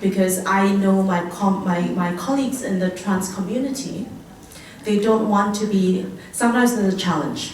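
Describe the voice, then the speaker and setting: A woman speaks at a medium pitch with ordinary pitch variation, her voice carrying audible room echo over noticeable background noise. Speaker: panel speaker. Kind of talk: panel talk. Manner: fast; halting.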